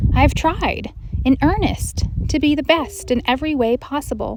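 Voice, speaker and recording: This woman keeps a moderate pace while noticeable background noise plays behind her. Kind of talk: meditation reading, reflective spoken essay.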